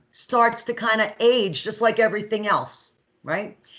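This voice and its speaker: A woman's fairly high-pitched, moderately paced delivery in an ordinary speaking voice. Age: 50s. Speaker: nursing instructor. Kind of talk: lecture. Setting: video call. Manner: conversational.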